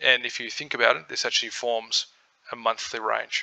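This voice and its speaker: Here a man speaks in a relaxed tone at a moderate pace. He has an Australian accent. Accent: Australian, twangy. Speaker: crypto trading educator. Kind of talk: tutorial. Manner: casual, relaxed.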